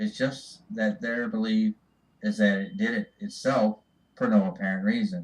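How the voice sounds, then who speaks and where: This man speaks at a fairly slow pace, his pitch swinging very widely. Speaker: writer. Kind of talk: religious speech. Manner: occasional stutter.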